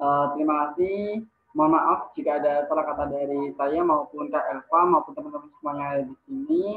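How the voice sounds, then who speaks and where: A man's fairly high voice at a moderate pace, with fairly even intonation and hardly any pauses. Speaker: moderator and MC; moderator, MC. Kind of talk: event moderation. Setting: video call. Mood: polite, grateful. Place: home room. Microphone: video call.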